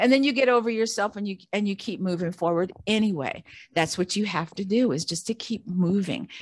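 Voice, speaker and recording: The recording is very clean, with a silent background. A woman with an ordinary speaking voice talks at a fairly quick pace, at medium pitch and with ordinary pitch variation. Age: 60s. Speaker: Air Force veteran and podcaster. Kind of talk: casual interview chat.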